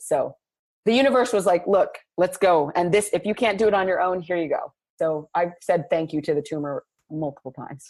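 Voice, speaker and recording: A woman with an American accent talks at a fairly quick pace in a plain, everyday voice. Her medium pitch shows ordinary variation, and the recording is very clean with a silent background. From Los Angeles. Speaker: playwright and jazz singer. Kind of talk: interview answer.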